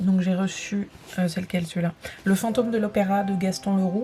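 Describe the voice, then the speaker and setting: A woman talks while music plays in the background. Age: 20s. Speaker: vlogger and aspiring writer. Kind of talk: casual vlog talk to camera. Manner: hesitant, many fillers.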